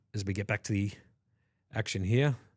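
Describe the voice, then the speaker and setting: Somewhat breathy and fairly low in pitch, a man with an Australian accent talks at a fairly quick pace on a very clean recording with a silent background. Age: 40s. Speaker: poker commentator. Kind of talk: live commentary.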